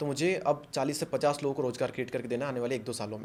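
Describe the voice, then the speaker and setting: A normal speaking voice, a man's, with fairly even intonation. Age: 20s. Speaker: YouTuber and motivational speaker. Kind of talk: podcast interview.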